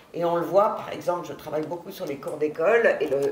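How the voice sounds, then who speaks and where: A woman with ordinary pitch variation, amid noticeable background noise and audible room echo. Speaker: researcher moderating a round table. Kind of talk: panel discussion moderation. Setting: university conference room.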